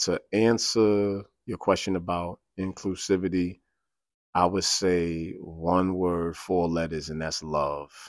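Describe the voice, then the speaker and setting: Very slowly and with fairly even intonation, a man talks in a very deep, low voice, recorded very cleanly against a silent background with a dry, close sound and no echo. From New York City (South Bronx). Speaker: pastor. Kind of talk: casual chat.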